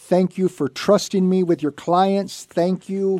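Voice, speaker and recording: Speaking in an American accent, this man has a high pitch. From Santa Barbara, California. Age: 50s. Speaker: radio host and reverse mortgage loan officer. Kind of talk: radio talk show. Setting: studio.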